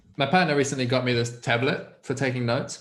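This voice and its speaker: A man's medium-pitched voice with fairly even intonation and audible room echo. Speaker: guest learning about coaching. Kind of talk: casual chat. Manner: fast.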